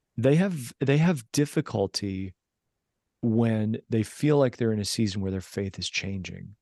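With an American accent and lively intonation, a man talks at a medium pitch and a fairly slow pace in a dark, mellow tone. The sound is dry and close with no echo, over a quiet background. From US. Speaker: pastor and spiritual director. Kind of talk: interview conversation.

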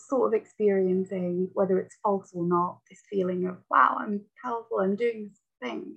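Speaking with a Lancashire accent, a woman uses medium pitch, ordinary pitch variation and a moderate pace, with big swings in loudness. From Lancashire, northern England. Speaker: poet and researcher. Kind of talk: casual chat.

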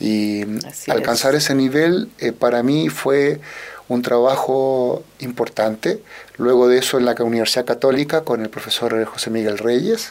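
Fairly slow speech from a man, noticeable background noise behind it. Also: medium pitch for a man, ordinary pitch variation. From Chile, Santiago. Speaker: orchestral musician and conductor. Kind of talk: radio interview.

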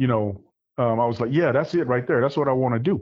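A man with an Arkansas accent talks at a medium pitch. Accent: US South (Arkansas). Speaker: military veteran. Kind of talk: casual interview. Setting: phone or video call.

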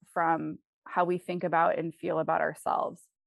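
A woman with an American accent has a fairly low pitch. Hers is an unremarkable speaking voice. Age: 30s. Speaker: life and health coach. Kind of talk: interview.

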